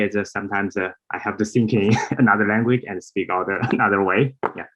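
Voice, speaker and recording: In a Chinese accent, a man with a fairly low pitch speaks at a moderate pace. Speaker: priest. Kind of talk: conference talk. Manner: halting.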